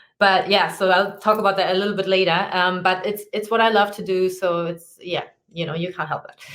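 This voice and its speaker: Talking at a fairly quick pace, a woman at medium pitch keeps a monotone, flat intonation while her loudness swings widely. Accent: German. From Germany. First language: German. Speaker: personal trainer and fitness consultant. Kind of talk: podcast interview. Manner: hesitant, many filler ums.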